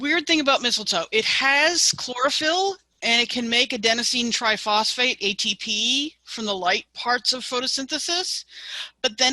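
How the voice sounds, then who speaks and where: A woman with an American accent speaks at a high pitch in a bright, sharp tone with lively intonation, the sound dry and close with no echo. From US Northeast. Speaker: master gardener teaching a class. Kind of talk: online lecture.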